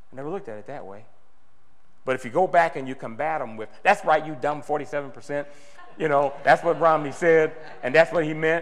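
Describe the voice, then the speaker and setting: A man's animated tone at a very fast pace and a fairly high pitch. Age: 60s. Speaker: political activist speaker. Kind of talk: speech to a meeting. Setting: meeting with audience.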